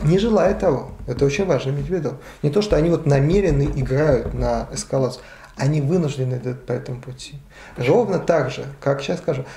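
The speaker talks at a fairly quick pace with ordinary pitch variation, and audible room echo surrounds the voice. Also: man. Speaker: history professor. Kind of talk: interview. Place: cafe.

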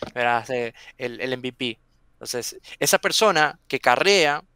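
The man's bright, sharp tone comes through as a dry sound with no echo. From Venezuela. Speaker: software testing content creator. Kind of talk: interview. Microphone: headset.

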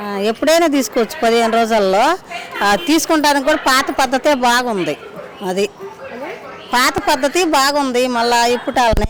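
Over crowd noise in the background, a woman talks at a high pitch with lively intonation. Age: 60s. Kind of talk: street interview answer.

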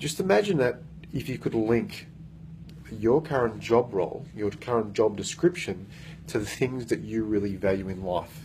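Vocal fry runs through a man's fairly low, dark, mellow voice. He keeps a moderate pace over light background noise. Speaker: workplace coach. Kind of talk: motivational talk to camera. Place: meeting room. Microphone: phone near.

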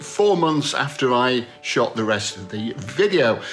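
Faint background music can be heard. Over it, a man is talking. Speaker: vlogger. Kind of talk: casual vlog chat. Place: home room. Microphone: phone near.

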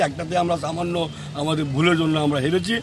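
A man talks in a high voice with a dry, echo-free sound, and there is noticeable background noise. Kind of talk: press scrum answers. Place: street. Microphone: handheld.

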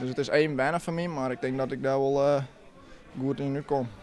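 Light background noise accompanies a man talking at a moderate pace with a fairly high pitch. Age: 20s. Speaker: amateur footballer. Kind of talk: post-match interview. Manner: halting. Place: stadium. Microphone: handheld.

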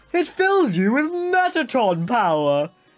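A put-on character voice sits at a fairly high pitch. Its pitch swings very widely. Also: fairly slow pace. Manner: flamboyant, showy.

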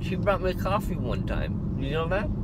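Loud background noise surrounds a man talking at a moderate pace, the sound dry with no echo. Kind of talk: casual vlog chat. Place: car.

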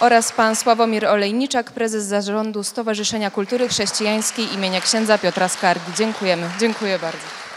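Crowd noise fills the background as a woman talks. She keeps a fairly even intonation and hardly any pauses. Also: fairly high pitch for a woman, fairly quick pace. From Szczecin, Poland; Poland. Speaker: debate moderator. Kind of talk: moderated panel debate. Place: hall. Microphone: handheld.

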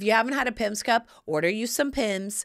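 The speaker has an American accent. The tone is animated. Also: woman, quiet background. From US South. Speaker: podcast host and lifestyle advice personality; podcast host. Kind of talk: casual chat. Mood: playful, cheeky humor. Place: studio. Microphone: studio mic.

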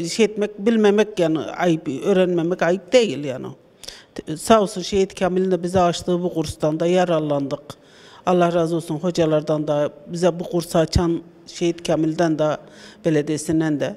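A woman's dark, mellow voice, fairly low in pitch, at a moderate pace with fairly even intonation. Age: 60s. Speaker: adult literacy course student. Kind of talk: street interview. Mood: grateful, earnest. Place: classroom. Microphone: handheld.

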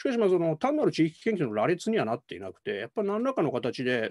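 With very wide pitch swings and vocal fry, a man rattles along at a very fast pace. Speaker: political science professor. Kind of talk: academic panel commentary. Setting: video call. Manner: formal, polite. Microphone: video call.

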